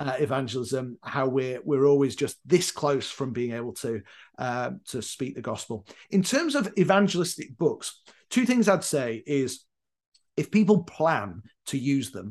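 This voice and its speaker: Over a quiet background, the speaker uses lively intonation at a fairly slow pace with a Yorkshire accent. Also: man, fairly high pitch for a man. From northern England, Leeds, Yorkshire. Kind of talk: casual interview.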